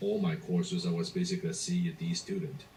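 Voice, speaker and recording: A man talks with a Cantonese accent. His pitch is high. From Hong Kong, moved to Canada at 16. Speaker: entrepreneur and motivational speaker. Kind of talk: motivational talk.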